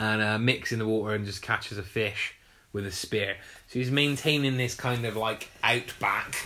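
A man with a normal speaking voice, fairly low in pitch, at a moderate pace with fairly even intonation. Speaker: podcast host. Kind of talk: casual chat.

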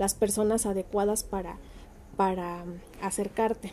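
Speaking fairly slowly in a Mexican accent, a woman keeps her intonation monotone and flat. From Mexico, Michoacán (Ciudad Hidalgo). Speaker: human rights activist. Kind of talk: presentation. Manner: hesitant, many fillers.

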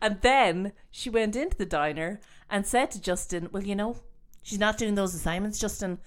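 In a very clean recording with a silent background, a woman speaks at a medium pitch with an Irish accent. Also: ordinary pitch variation, moderate pace. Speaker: podcast host. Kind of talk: casual chat.

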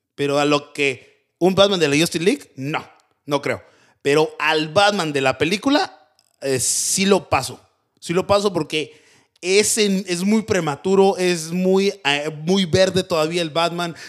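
Speaking fairly slowly with a Mexican accent, a man uses a high pitch and ordinary pitch variation. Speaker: podcast host. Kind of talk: casual chat. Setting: studio.

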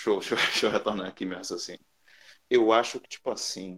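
A man speaks with music playing in the background. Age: 20s. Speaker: podcast panelist. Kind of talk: casual chat.

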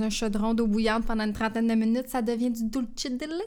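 A woman's fairly high voice, fairly quick and in a flat monotone. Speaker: podcast co-host. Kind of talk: casual chat.

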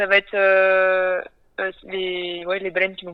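The pace is very slow. Intonation stays monotone and flat. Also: woman. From western France (Nantes). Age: 20s. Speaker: sailor and ocean conservation project founder. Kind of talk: interview.

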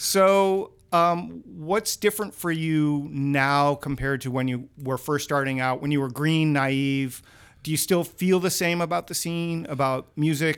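This man has a plain, everyday voice, fairly high in pitch, with ordinary pitch variation. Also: fairly slow pace. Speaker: podcast host. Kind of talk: casual interview chat. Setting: studio, in person.

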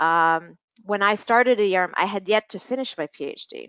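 At a moderate pace, a woman with a plain, everyday voice speaks at medium pitch with ordinary pitch variation. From Hong Kong and Canada. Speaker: environmental professional. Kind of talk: interview.

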